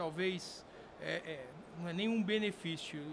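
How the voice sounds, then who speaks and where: A man talks at a fairly slow pace with ordinary pitch variation. Noticeable background noise and audible room echo surround his voice. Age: 60s. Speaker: sport shooting veteran and firearms company figure. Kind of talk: podcast interview. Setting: convention event. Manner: halting, many fillers.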